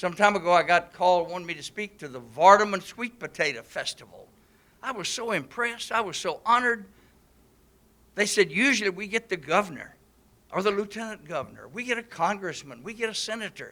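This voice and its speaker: A man with an American accent speaks fairly quickly in a raised, projected voice at a high pitch, his tone bright and sharp. His pitch varies in an ordinary way, while his loudness swings widely. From Mississippi, Pontotoc County. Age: 80s+. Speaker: business owner, political speaker. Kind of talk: public speech.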